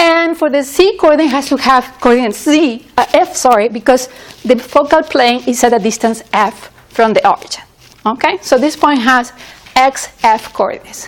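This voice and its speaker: Over noticeable background noise, a woman with a high pitch speaks at a moderate pace, with ordinary pitch variation and very even loudness. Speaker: university lecturer. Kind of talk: lecture.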